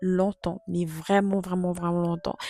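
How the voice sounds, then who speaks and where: With a dark, mellow tone at a medium pitch, a woman speaks in a dry, close sound with no echo. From Congo. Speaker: vlogger. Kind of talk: casual chat.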